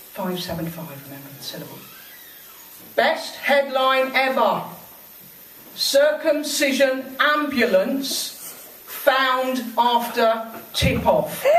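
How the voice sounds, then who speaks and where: A woman's high voice at a very slow pace, lively intonation, big swings in loudness, long, frequent pauses and noticeable background noise. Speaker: poet and railway trade union member. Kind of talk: spoken word poetry performance at a live event. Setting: live venue, in front of an audience. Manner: humorous, comedic delivery.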